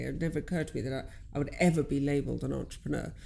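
A woman speaks with vocal fry. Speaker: business owner and coach. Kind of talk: casual chat.

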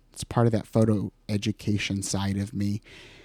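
In a Midwestern American accent, a man speaks at a moderate pace, the sound dry and close with no echo. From western Iowa. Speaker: photographer and podcast host. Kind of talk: solo podcast monologue. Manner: casual, conversational.

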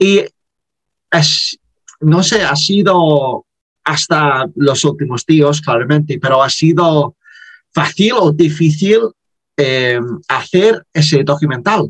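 At a very slow pace, a man with an English accent and fairly high pitch speaks with ordinary pitch variation, very even loudness and long, frequent pauses, in a dry, close sound with no echo. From Liverpool, England. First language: English (speaking Spanish). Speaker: podcast host. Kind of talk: interview. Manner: halting, many fillers.

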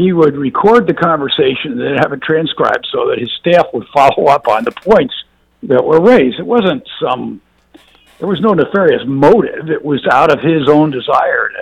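A man talks at a moderate pace. Behind him, music is playing. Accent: American. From US South. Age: 60s. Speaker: former government official. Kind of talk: panel discussion.

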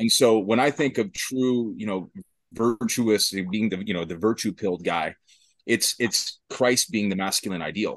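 Against a quiet background, a man with an ordinary speaking voice talks at a moderate pace and a fairly low pitch, with ordinary pitch variation. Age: 30s. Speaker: gym owner. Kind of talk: panel discussion. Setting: video call.

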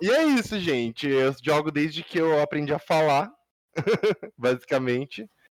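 A man with a fairly high pitch talks at a fairly slow pace, with ordinary pitch variation and long, frequent pauses. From Brazil. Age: 20s. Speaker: podcast co-host, information security student. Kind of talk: casual chat. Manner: animated.

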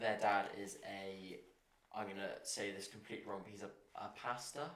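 Speaking with an English accent, a man uses a fairly low pitch, a moderate pace and fairly even intonation. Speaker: visiting house guest.

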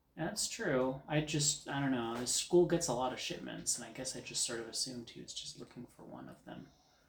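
The speech moves at a fairly quick pace with hardly any pauses. Noticeable background noise runs underneath. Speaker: player in a tabletop RPG campaign. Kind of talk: casual tabletop roleplaying game session.

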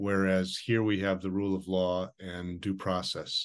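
Very deep and low, a man's voice carries an American accent and monotone, flat intonation over a quiet background. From United States. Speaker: podcast host. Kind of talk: interview; scripted outro.

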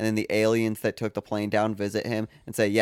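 The sound is dry and close, without any echo. A man does the talking. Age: 20s. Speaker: podcast host. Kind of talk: casual chat.

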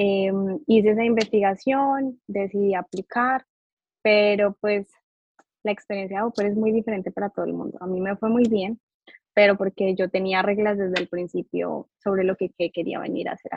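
A woman with an ordinary speaking voice, at a moderate pace and with fairly even intonation. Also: medium pitch for a woman. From Colombia. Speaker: psychologist. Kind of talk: interview.

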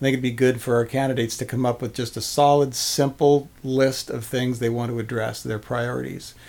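Speaking at a fairly quick pace with hardly any pauses, a man keeps a medium pitch and monotone, flat intonation. Noticeable background noise runs underneath. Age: old. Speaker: podcast co-host. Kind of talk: casual political discussion.

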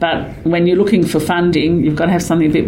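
Noticeable background noise and audible room echo surround a woman's voice. She speaks at a fairly low pitch with fairly even intonation. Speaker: caterer and doula. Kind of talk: interview.

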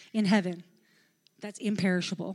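On a very clean recording with a silent background, a woman is speaking. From Newfoundland, Canada. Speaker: pastor. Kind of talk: sermon. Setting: church.

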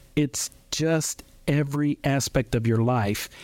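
Dry and close with no echo, a man's fairly high, plain, everyday voice moves with ordinary pitch variation. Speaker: diabetes nurse educator. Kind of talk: radio interview. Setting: studio.

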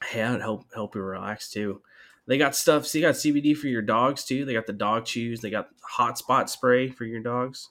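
On a very clean recording with a silent background, a man with a plain, everyday voice speaks at medium pitch and a moderate pace. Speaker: rugby podcast host. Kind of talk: casual banter. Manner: joking, deadpan.

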